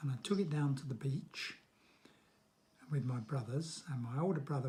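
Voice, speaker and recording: A man speaks at a fairly high pitch with fairly even intonation. His voice is somewhat breathy, with a dark, mellow tone. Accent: southern English. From London, England. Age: 70s. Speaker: grandfather interviewed about childhood. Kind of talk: interview answers to children.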